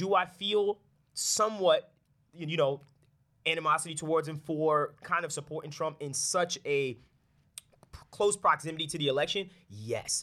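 A man speaks at a moderate pace in a bright, sharp tone with ordinary pitch variation. His speech has long, frequent pauses. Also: fairly high pitch for a man. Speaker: content creator and artist. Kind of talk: casual chat. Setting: studio.

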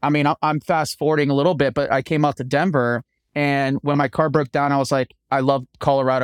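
A man with an American accent talks at a fairly quick pace in an unremarkable speaking voice, fairly high-pitched with fairly even intonation. The recording is very clean, with a silent background and a dry, close sound with no echo. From US East Coast. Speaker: TV renovation host and contractor. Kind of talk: interview.

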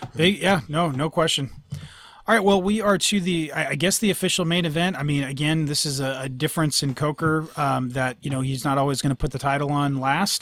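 A man with an ordinary speaking voice, fairly high pitch and ordinary pitch variation at a fairly quick pace, in a very clean recording with a silent background. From Northern California. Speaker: MMA podcast host. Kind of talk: casual chat.

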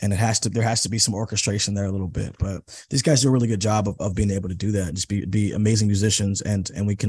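A man with an American accent speaks at a very fast pace, with hardly any pauses and a fairly low pitch. His voice is somewhat breathy against a quiet background. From Seattle, US Pacific Northwest. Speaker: rock musician. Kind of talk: casual interview. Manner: animated.

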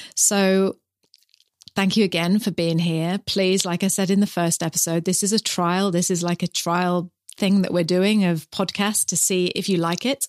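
A woman with a New Zealand accent speaks in a flat monotone at very even loudness, her voice dry and close with no echo on a very clean recording with a silent background. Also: medium pitch for a woman, moderate pace. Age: 50s. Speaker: podcast host and mother. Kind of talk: podcast intro monologue; casual chat.

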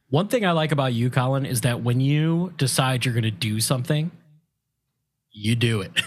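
Moderate-paced speech from a man, an unremarkable speaking voice at a medium pitch with ordinary pitch variation. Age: 30s. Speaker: podcast co-host. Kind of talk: casual chat.

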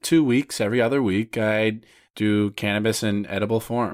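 A man at a fairly low pitch with a normal speaking voice, fairly slow, in a dry, close sound with no echo on a very clean recording with a silent background. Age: 20s. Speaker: podcast host and author. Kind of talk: casual chat.

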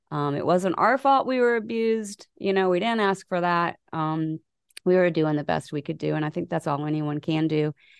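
A woman with a plain, everyday voice speaks at a moderate pace, her pitch fairly low and her intonation lively. The sound is dry and close with no echo, over a quiet background. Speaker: person living with dissociative identity disorder. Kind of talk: personal testimony in interview.

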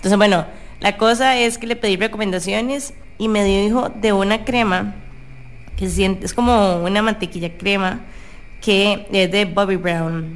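A woman speaks at a fairly slow pace in a medium-pitched voice. It is an ordinary speaking voice. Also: fairly even intonation. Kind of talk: casual chat. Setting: radio studio.

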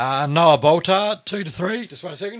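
A man with an Australian accent, very slow in pace, lively in intonation, bright and sharp in tone. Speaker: football podcast host. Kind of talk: casual chat. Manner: halting, many fillers.

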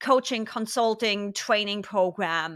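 Her bright, sharp tone is captured in a very clean recording with a silent background. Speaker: podcast host. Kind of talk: casual interview.

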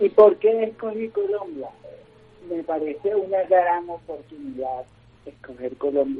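Lively in intonation, a high-pitched man talks at a fairly slow pace with big swings in loudness. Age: 30s. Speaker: motivational speaker and organizational consultant. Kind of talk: radio interview. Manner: halting, many fillers.

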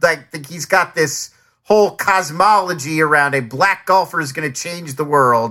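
This man has an American accent and a bright, sharp tone. He talks at a moderate pace with ordinary pitch variation. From New Jersey and Philadelphia. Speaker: podcast co-host, streaming show reviewer. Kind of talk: casual chat. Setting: video call.

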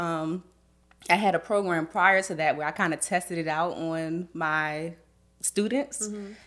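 A woman with a plain, everyday voice, fairly low in pitch, at a moderate pace in a very clean recording with a silent background. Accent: American. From Washington DC. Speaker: makeup artist and beauty educator. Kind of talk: podcast interview. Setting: studio, in person.

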